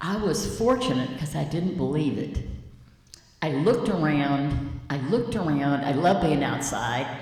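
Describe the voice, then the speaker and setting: Over noticeable background noise and audible room echo, a woman with a very deep, low pitch speaks at a fairly slow pace with very wide pitch swings. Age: 80s+. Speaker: community elder on panel. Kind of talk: panel discussion. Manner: animated.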